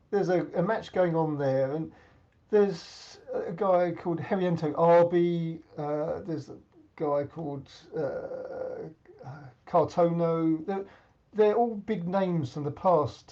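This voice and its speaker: In an English accent, a man with a high pitch speaks at a very slow pace with ordinary pitch variation. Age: 70s. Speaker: senior badminton champion. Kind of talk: interview.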